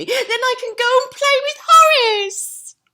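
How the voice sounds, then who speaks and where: This put-on character voice is squeaky and extremely high. It moves at a fairly slow pace. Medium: read story. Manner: squealing, giggly.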